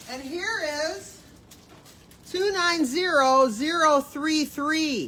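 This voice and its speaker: A woman uses a raised, projected voice at a high pitch with lively intonation. She speaks at a very slow pace with long, frequent pauses. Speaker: bin store staff running a live sale. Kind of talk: livestream announcing raffle ticket winners. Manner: loud.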